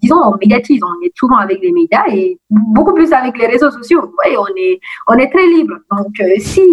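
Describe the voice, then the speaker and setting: At a fairly slow pace, a woman speaks in a high pitch with very wide pitch swings. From Guinea. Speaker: student activist. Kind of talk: interview. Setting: phone call.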